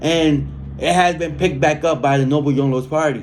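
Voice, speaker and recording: A man talks at a fairly quick pace in a fairly high pitch. His pitch varies in an ordinary way, and some room echo can be heard. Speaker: political activist reading prisoner newsletters. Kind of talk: reading aloud with commentary.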